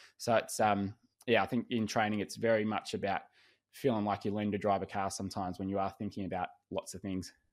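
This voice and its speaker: Using an Australian accent, a man speaks at a very fast pace with a fairly low pitch. His intonation is monotone and flat, and the recording is very clean, with a silent background. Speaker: swim coach and podcast host. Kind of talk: podcast interview.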